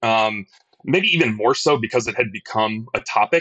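Recorded dry and close with no echo, a man with an American accent speaks in a fairly low, bright, sharp voice with ordinary pitch variation. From Detroit. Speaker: hockey league vice-president. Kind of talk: interview.

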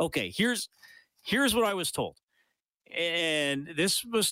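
An animated man with a Canadian accent speaks fairly slowly, his intonation lively and his tone bright and sharp. The very clean recording has a silent background and a dry, close sound with no echo. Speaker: sports radio host. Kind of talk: casual chat. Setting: studio.

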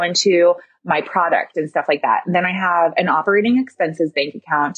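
A woman's medium-pitched voice with ordinary pitch variation, an ordinary speaking voice. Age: 30s. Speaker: interior designer and business owner. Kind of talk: casual interview.

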